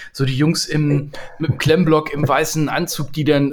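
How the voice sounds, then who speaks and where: A man talks at a moderate pace with a fairly high pitch. There is noticeable background noise. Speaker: leadership podcaster and coach. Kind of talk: casual chat. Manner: cheerful, animated.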